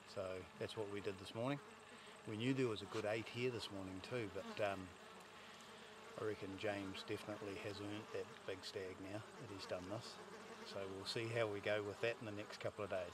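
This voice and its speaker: The sound is dry with no echo, with noticeable background noise. A man speaks at a fairly quick pace. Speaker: hunting guide. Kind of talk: casual hunting commentary to camera. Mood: pleased, relaxed, joking. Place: open country.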